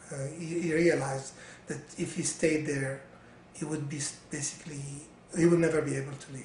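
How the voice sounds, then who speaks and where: A man with a fairly high pitch speaks in a flat monotone, his loudness swinging widely, with long, frequent pauses over noticeable background noise. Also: fairly quick pace. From Syria and Lebanon. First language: Arabic. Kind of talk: interview answer. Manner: hesitant, many fillers.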